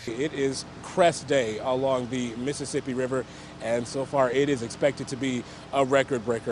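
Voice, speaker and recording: Monotone, flat intonation from a man at a medium pitch, moving at a moderate pace. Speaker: TV news anchor and reporter. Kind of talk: TV news anchor reading.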